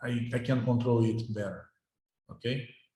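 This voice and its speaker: The voice is somewhat breathy with a dark, mellow tone. Room echo can be heard. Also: man. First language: Portuguese. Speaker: university professor. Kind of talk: lecture. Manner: halting, with many repetitions.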